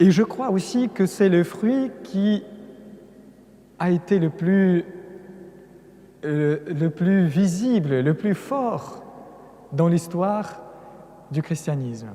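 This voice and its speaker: A man speaks with a Russian accent in a high voice with lively intonation. His pace is very slow, with long, frequent pauses. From Russia, Caucasus. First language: Russian (speaking French). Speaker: priest, religious lecturer. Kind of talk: lecture. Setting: cathedral with audience.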